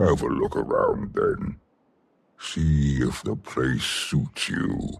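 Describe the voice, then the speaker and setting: Growling in a put-on character voice, a man speaks at a very slow pace. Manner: slow, unhurried.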